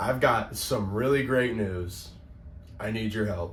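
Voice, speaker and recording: A raspy, put-on character voice moves at a fairly slow pace over clear background noise. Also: man, medium pitch for a man. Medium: short film. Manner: eager, excitable.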